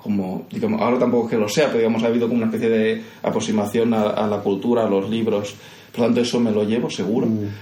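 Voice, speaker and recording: A man at a very fast pace, with a slight Andalusian accent, monotone, flat intonation, very even loudness and audible room echo. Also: medium pitch for a man. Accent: slight Andalusian lilt in Spanish. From Catalonia, Castelldefels, of Andalusian family. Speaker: architect and university professor. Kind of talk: interview conversation.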